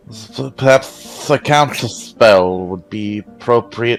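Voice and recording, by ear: Against faint background music, a man does a hissing, put-on character voice at medium pitch and a fairly slow pace.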